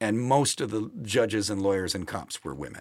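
A man's voice with an American accent and vocal fry at a moderate pace, in a very clean recording with a silent background. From Milwaukee, Wisconsin (US Midwest). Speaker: folk singer-songwriter. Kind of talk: interview conversation. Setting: studio.

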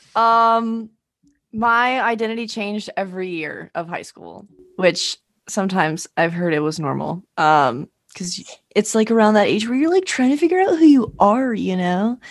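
A woman with an American accent speaks in a normal speaking voice at a fairly high pitch and moderate pace, with lively intonation and big swings in loudness, on a very clean recording with a silent background. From Arizona. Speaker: co-host. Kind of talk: casual chat.

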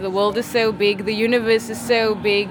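Someone speaks at a moderate pace with music playing in the background. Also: woman. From South Africa, Cape Town. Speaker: rapper and singer. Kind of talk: interview. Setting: music festival.

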